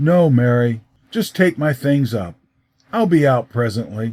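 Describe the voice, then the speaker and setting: A man puts on a character voice with a medium pitch and lively intonation. He sounds quiet and strained, moving at a moderate pace. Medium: read story. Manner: quiet, restrained.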